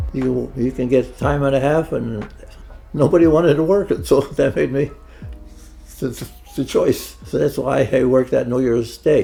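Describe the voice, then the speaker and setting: At a moderate pace, a man speaks with long, frequent pauses while music plays in the background. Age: 80s+. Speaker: retiree. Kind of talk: interview answer.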